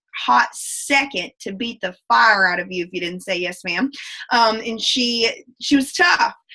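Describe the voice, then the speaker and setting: Speaking with a strong Southern US accent, a woman has a fairly high pitch. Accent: thick Southern US. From US South. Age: 20s. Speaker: direct sales ambassador. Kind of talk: motivational talk. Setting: video call. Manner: fast; animated.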